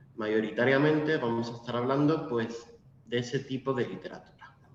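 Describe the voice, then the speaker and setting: A man talks at a moderate pace with a medium pitch and ordinary pitch variation. The recording has audible room echo and noticeable background noise. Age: 20s. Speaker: literature lecturer. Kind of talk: lecture.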